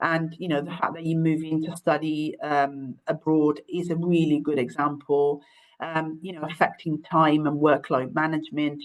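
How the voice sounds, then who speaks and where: Her pitch is very deep and low for a woman. She speaks with an Italian accent at a moderate pace. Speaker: university careers adviser. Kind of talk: webinar presentation. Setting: online webinar. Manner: hesitant, many fillers.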